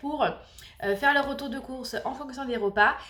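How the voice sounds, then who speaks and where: This woman's voice sits high, moving at a fairly slow pace with ordinary pitch variation. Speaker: family vlogger. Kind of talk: casual vlog. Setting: home kitchen.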